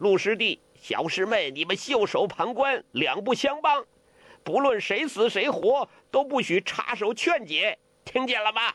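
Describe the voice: A man puts on a character voice, high-pitched with big pitch swings. He speaks at a fairly slow pace. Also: fairly bright tone.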